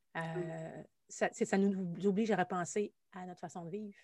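Over a silent background on a very clean recording, a woman talks fairly quickly at a fairly low pitch with fairly even intonation. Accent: Quebec. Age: 40s. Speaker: musician and anxiety coach. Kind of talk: casual interview chat.

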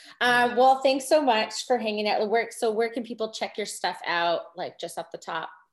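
A woman speaks at a moderate pace with a fairly high pitch, a warm, enthusiastic tone, lively intonation and hardly any pauses. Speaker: podcast host. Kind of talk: casual interview.

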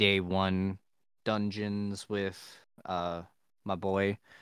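A man with an American accent and fairly low pitch, on a very clean recording with a silent background and a dry, close sound with no echo. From Ohio. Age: 20s. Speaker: college student, gamer. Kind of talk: casual chat.

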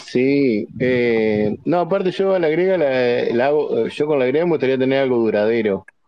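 In a normal speaking voice at a medium pitch, a man talks at a fairly slow pace with hardly any pauses. His intonation is lively and his loudness very even. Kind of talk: casual chat.

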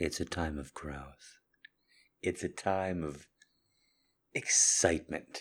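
A man talks very slowly at a very deep, low pitch, leaving long, frequent pauses. His intonation is fairly even, and the recording is very clean with a silent background. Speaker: podcast host. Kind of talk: intimate monologue. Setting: solo recording at night.

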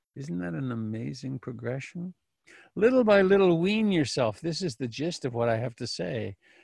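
A man's somewhat breathy voice at medium pitch moves through very wide pitch swings. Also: moderate pace. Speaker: meditation teacher. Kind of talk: dharma talk. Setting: video call.

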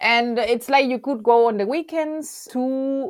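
Speaking at a fairly slow pace with a Spanish accent, a woman with a high-pitched voice comes through on a very clean recording against a silent background. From Venezuela, La Guaira. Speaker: university librarian. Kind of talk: casual interview chat.

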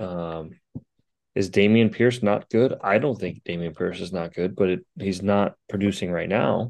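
Speaking at a fairly slow pace, a man has an unremarkable speaking voice with a fairly low pitch and ordinary pitch variation. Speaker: fantasy football podcast co-host. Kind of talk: casual sports chat.

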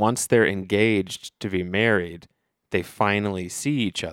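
With a Midwestern American accent, a man talks at a fairly low pitch and fairly slow pace with fairly even intonation, in a very clean recording with a silent background and a dry, close sound with no echo. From US Midwest, Dayton, Ohio. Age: 30s. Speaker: podcast co-host. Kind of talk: casual chat. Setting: studio.

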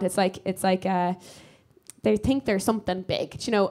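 A woman talks at a fairly quick pace with an Irish accent. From Ireland. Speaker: comedian. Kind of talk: live podcast recording, casual chat. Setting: stage with audience.

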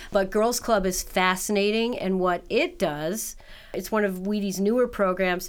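A woman with a normal speaking voice and an American accent talks at a moderate pace. Her pitch is medium and her intonation fairly even. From New York City. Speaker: nonprofit director. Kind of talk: interview.

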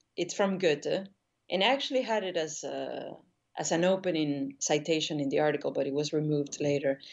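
Her pitch is very deep and low for a woman, and she speaks with a Spanish accent. The pace is fairly quick, with ordinary pitch variation. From Argentina, Buenos Aires. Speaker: painter. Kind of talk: interview conversation.

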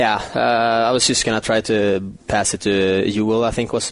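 A man's monotone, flat delivery over noticeable background noise. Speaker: hockey player. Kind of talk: post-game interview. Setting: outside locker room. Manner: halting, modest.

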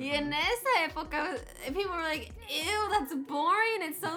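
A woman speaks in a raised, projected voice with lively intonation at a very slow pace. Noticeable background noise is present. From Houston, Texas. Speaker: reggaeton artist. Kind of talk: casual chat.

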